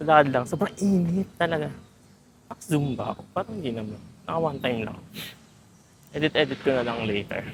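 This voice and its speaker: Speaking at a fairly quick pace, a woman with a very deep, low pitch uses lively intonation but leaves long, frequent pauses. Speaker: travel vlogger. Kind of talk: casual vlog. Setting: outdoors walking. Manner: animated.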